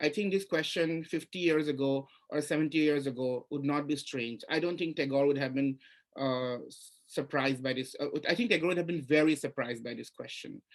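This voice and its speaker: Speaking with an Assamese accent, a man talks at a fairly quick pace in a fairly high pitch with ordinary pitch variation. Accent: Indian English, Assamese. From India, Assam. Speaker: writer and literature professor. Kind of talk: panel interview at literary festival. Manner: halting, many repetitions.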